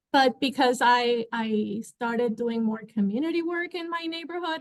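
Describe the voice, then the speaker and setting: Speaking at a moderate pace, a woman with a Spanish accent uses a high pitch with ordinary pitch variation. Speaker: librarian. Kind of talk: panel talk.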